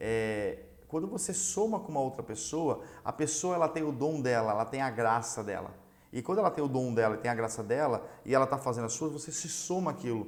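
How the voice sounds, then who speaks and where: Lively intonation marks this man's medium-pitched voice. He speaks at a fairly quick pace. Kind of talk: religious teaching lesson. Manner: fast.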